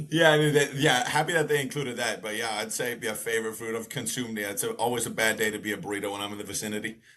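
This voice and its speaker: A man with an American accent at a very fast pace, hardly any pauses and ordinary pitch variation, over noticeable background noise. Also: medium pitch for a man. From US West Coast, Bay Area (Alameda), summers in Ireland. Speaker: former elite rower and rowing coach. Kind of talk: podcast interview. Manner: casual, laid-back.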